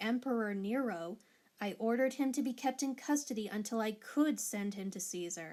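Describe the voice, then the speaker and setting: A woman speaks in a normal speaking voice with fairly high pitch. Her pitch varies in an ordinary way, and her pace is moderate. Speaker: Bible reader. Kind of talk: Bible reading.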